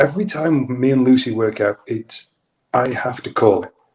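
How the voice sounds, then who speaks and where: A man talks with a British accent. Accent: British accent, remarked on. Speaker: yoga instructor. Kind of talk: casual chat. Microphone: audio issues, clicking and popping.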